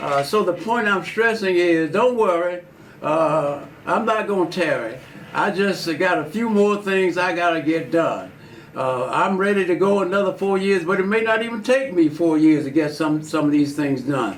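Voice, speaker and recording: A man with a high pitch and ordinary pitch variation at a moderate pace, amid noticeable background noise and audible room echo. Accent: Alabama. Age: 80s+. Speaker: politician. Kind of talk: interview. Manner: halting.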